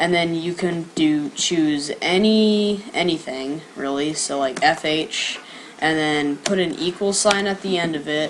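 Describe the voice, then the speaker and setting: Against noticeable background noise, a woman with a fairly low pitch speaks at a fairly slow pace. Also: ordinary pitch variation. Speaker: coding tutorial youtuber. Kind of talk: tutorial. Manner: casual, filler-heavy.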